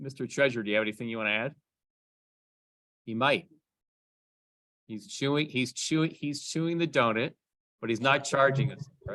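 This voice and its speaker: The voice has a bright, sharp tone and ordinary pitch variation, moving at a fairly quick pace broken by long, frequent pauses. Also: man, medium pitch for a man. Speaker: amateur radio club president. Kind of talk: club meeting business report. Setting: in-person meeting room, also streamed on Zoom.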